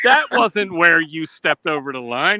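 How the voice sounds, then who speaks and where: A raised, projected voice moves through very wide pitch swings. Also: man. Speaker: fragrance enthusiast. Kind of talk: casual chat. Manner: loose, slurred speech.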